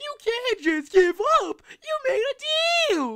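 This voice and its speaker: A squeaky, put-on character voice at an extremely high pitch, with very wide pitch swings and a very slow pace. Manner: whiny, giving up.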